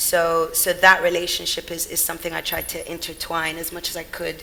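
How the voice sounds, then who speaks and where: Noticeable background noise behind a woman talking at a moderate speed. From England, Sudanese family. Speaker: brand consultant and founder. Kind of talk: panel discussion. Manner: hesitant, many fillers.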